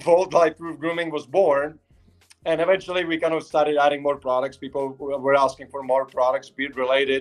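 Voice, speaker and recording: A man talks at a fairly quick pace with a Czech accent. His pitch is fairly high and his intonation fairly even. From Czech Republic, Prague. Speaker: company founder. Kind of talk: interview on livestream. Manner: halting, many fillers.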